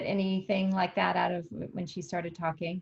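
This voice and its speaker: A woman's medium-pitched voice comes through somewhat breathy. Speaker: wellness workshop host. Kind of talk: video call discussion. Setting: video call.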